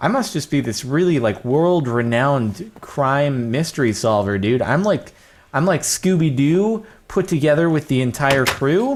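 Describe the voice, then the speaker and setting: The man's voice is fairly high-pitched, with an animated tone and lively intonation. He speaks at a fairly slow pace. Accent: American. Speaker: gaming YouTuber. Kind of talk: Minecraft let's play commentary. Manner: casual, animated.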